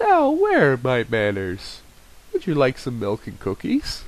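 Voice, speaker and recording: This man puts on a character voice. His delivery comes at a fairly slow pace. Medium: read story. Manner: gentle, polite.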